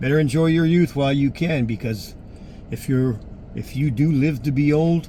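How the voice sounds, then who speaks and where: The man's voice is fairly high in pitch and somewhat breathy. It has a dark, mellow tone. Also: ordinary pitch variation, moderate pace. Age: 60s. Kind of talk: personal appeal monologue. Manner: halting.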